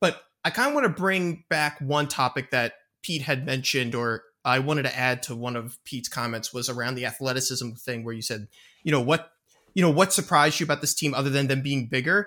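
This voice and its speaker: A man with a Philadelphia accent speaks at a fairly quick pace in a fairly high pitch. His tone is bright and sharp, with ordinary pitch variation. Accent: Philadelphia-area, noticeable. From near Philadelphia. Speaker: podcast co-host. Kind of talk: sports podcast discussion.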